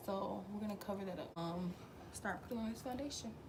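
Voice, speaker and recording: Medium pitch from a woman, with audible room echo and noticeable background noise. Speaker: beauty vlogger. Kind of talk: tutorial. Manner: casual, frequent um fillers.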